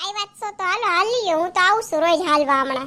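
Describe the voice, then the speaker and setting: A woman's squeaky, put-on character voice at an extremely high pitch, with lively intonation and a fairly quick pace. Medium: comedy sketch. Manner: chatty, easygoing.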